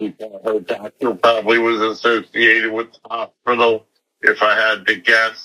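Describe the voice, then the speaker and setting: A man's flat, monotone voice at medium pitch, bright and sharp in tone, with an American accent and a moderate pace. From Long Island, New York. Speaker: guest, former schoolmate. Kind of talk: casual interview.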